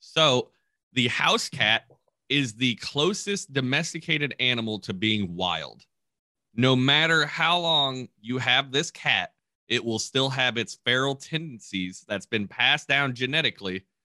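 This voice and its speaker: With a bright, sharp tone and lively intonation, a man speaks at a medium pitch and a fairly slow pace. The recording is very clean with a silent background, the sound dry and close with no echo. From Kentucky. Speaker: educational podcast co-host. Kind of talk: casual chat.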